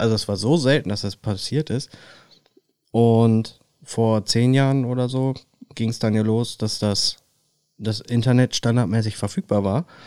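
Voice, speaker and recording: This man's voice sits at a medium pitch and has a dark, mellow tone with ordinary pitch variation. He speaks at a fairly slow pace with long, frequent pauses. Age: 30s. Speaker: podcast co-host. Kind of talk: casual chat.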